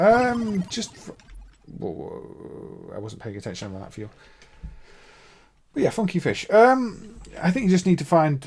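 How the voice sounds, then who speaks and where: The speaker uses a Midlands accent at a moderate pace, with very wide pitch swings. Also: man. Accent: Midlands English, mild. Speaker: emulator developer and game streamer. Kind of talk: live gameplay stream commentary. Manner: casual, hesitant with fillers.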